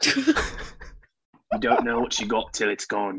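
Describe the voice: A man puts on a raspy character voice with an Australian accent. His pitch is medium and his pace moderate.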